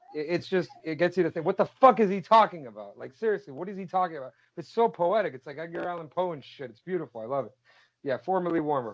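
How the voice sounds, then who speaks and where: Very fast and animated, a man with a fairly high pitch speaks with lively intonation and big swings in loudness. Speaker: podcast guest. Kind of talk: casual chat.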